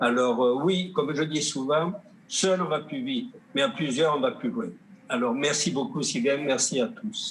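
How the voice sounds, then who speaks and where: Talking at a fairly slow pace, a man uses a fairly high pitch with very wide pitch swings. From southern Gaspésie, Quebec. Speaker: painter and sculptor, award recipient. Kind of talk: acceptance speech. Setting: virtual online gala. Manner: halting.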